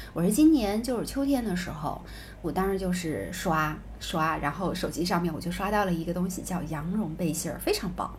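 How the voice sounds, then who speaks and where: This woman's voice sits fairly low in pitch, with vocal fry, ordinary pitch variation and a fairly quick pace. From southern China. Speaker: podcast co-host. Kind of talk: casual chat.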